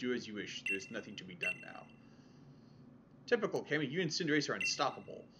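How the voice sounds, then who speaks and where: A man talks at a very fast pace, with long, frequent pauses. His loudness swings a lot, and there is noticeable background noise. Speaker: let's play gamer. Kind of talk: reading video game dialogue aloud. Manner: soft-spoken.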